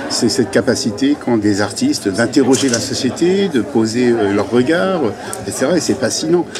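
The intonation of this man's voice is lively. There is audible room echo and noticeable background noise. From Brittany, France. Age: middle-aged. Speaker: NGO director. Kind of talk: interview.

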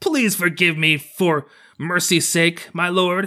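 A man's put-on character voice, high-pitched, fairly slow and fairly even, on a very clean recording with a silent background. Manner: imploring, pleading.

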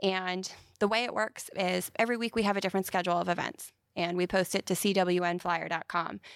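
A woman speaks in an ordinary speaking voice with an American accent, at a medium pitch and a fairly quick pace. Her intonation stays fairly even, loudness very even, and the sound is dry and close with no echo in a very clean recording with a silent background. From central Pennsylvania. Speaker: nonprofit executive director. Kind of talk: interview.

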